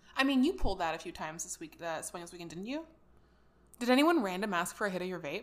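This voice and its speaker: A woman's very fast speech, with lively intonation and big swings in loudness. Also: medium pitch for a woman. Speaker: podcast host. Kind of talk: casual chat.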